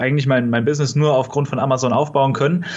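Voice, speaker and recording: A man speaks in a normal speaking voice with a fairly high pitch. His intonation is fairly even. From Germany, near Kassel (northern Hesse). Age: 20s. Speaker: online retailer, e-commerce entrepreneur. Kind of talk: podcast interview.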